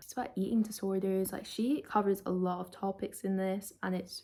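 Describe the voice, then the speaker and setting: A woman speaks with a Scottish accent at a medium pitch. Her pace is fairly quick. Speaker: book youtuber. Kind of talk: casual book review vlog. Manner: casual, filler-heavy.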